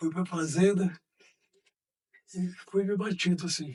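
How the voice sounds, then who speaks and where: This man has a high pitch. His intonation stays monotone and flat. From Minas Gerais, Brazil (Uberaba). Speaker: former mayor. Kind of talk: interview testimony.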